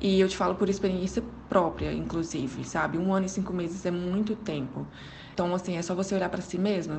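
A woman with a fairly low pitch talks at a fairly quick pace. Audible room echo and noticeable background noise fill the recording. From Goiânia, Brazil. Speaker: psychology graduate. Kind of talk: recorded advice commentary.

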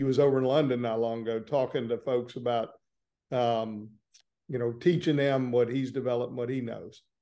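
A man with a Southern US accent, medium pitch, dark, mellow tone, fairly even intonation and a fairly quick pace. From Florida, small town north of Orlando. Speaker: personal injury trial lawyer. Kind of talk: interview conversation.

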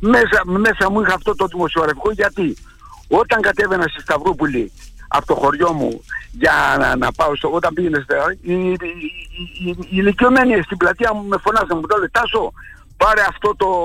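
Over noticeable background noise, a man with a high pitch uses a raised, projected voice and lively intonation at a moderate pace, leaving long, frequent pauses. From Xanthi area, Thrace, Greece. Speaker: retired journalist and author. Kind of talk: interview. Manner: halting.

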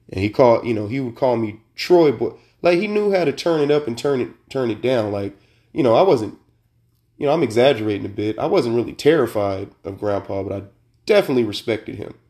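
With an American accent, a man talks at a very fast pace and a medium pitch, his intonation lively. His tone is dark and mellow, in a very clean recording with a silent background. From Sacramento, California. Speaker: podcast host. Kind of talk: casual chat, with a heartfelt eulogy-style tribute to his late grandparents. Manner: conversational and rambling, full of fillers and restarts; warm, nostalgic and sincere, with a reflective tone when remembering his grandparents.

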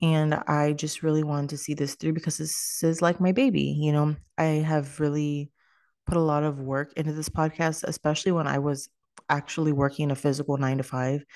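A woman speaks at a very deep, low pitch with monotone, flat intonation. The background is quiet. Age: 20s. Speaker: podcast host. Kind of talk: casual monologue. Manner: low energy.

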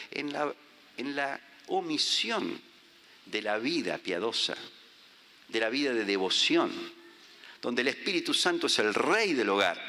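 The speech moves at a fairly slow pace with long, frequent pauses, and audible room echo surrounds it. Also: man. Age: 50s. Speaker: visiting preacher. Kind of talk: sermon.

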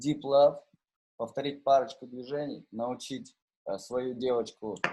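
A man's dark, mellow tone at a fairly slow pace, with ordinary pitch variation. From Novosibirsk, Russia. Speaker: rapper and DJ. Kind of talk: casual chat. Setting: video call.

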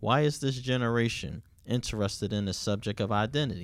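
Moderate in pace, a man speaks with ordinary pitch variation. The recording is very clean, the background silent. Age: 40s. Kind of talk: casual faith discussion.

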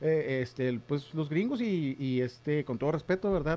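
With a plain, everyday voice, a man speaks at a fairly slow pace and a fairly high pitch, his intonation lively. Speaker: podcast co-host. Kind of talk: casual chat. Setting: home studio.

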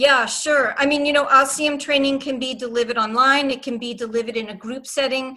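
A woman's raised, projected voice with an American accent, high in pitch and flat in a monotone, fairly quick with hardly any pauses, over noticeable background noise. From Boston. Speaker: RCM trainer and consultant. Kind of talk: panel discussion, live webinar Q&A. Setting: video call webinar.

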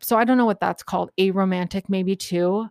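A woman's normal speaking voice at a fairly quick pace, with ordinary pitch variation and a dry, close sound with no echo. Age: 40s. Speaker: podcast host. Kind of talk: casual solo commentary. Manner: casual, filler-heavy with frequent laughs.

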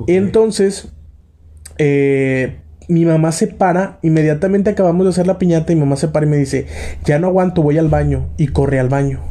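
A man talks at a fairly quick pace in a fairly high voice with a dark, mellow tone. His loudness stays very even. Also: ordinary pitch variation. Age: 20s. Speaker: podcast host. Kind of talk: casual chat.

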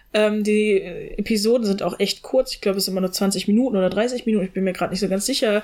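A woman talks at a fairly quick pace with ordinary pitch variation. She has an unremarkable speaking voice. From Germany, small town. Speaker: podcast co-host. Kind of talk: casual chat.

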